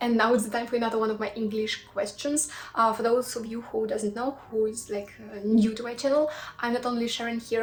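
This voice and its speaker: A woman with a Russian accent, a fairly high voice and a fairly quick pace, with noticeable background noise. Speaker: cooking YouTuber. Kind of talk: casual chat to viewers; cooking tutorial. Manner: halting, with fillers.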